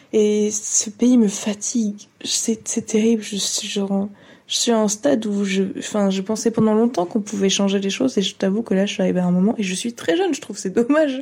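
A woman's fairly high, somewhat breathy voice has a dark, mellow tone and fairly even intonation. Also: fairly quick pace. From France. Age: 20s. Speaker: testimony contributor. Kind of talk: testimony.

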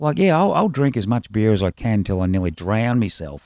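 In an Australian accent, a man speaks at a moderate pace with a dark, mellow tone and very wide pitch swings. The sound is dry and close with no echo, the recording very clean over a silent background. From Australia, Melbourne. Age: 60s. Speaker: punk rock musician. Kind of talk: casual chat.

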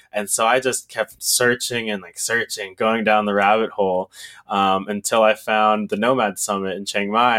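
A man with an unremarkable speaking voice talks at medium pitch and a moderate pace with fairly even intonation, recorded very cleanly against a silent background with a dry, close sound and no echo. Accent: American. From Texas. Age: 20s. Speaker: e-commerce entrepreneur. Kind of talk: casual interview.

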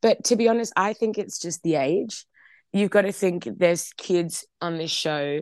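A woman with an Australian accent speaks at a moderate pace with ordinary pitch variation, the sound dry and close with no echo and the background quiet. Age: 20s. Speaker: singer. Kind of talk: interview.

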